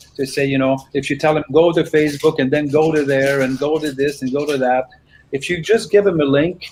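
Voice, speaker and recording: Speaking at a fairly quick pace, a man with a fairly high pitch has an ordinary speaking voice. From Canada. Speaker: singer-songwriter. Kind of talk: casual interview.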